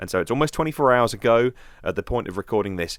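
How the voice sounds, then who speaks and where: With a British accent, a man speaks at a medium pitch with lively intonation. The sound is dry and close with no echo, and the recording is very clean with a silent background. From London, UK. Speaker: podcast host. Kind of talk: news podcast commentary. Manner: casual, conversational.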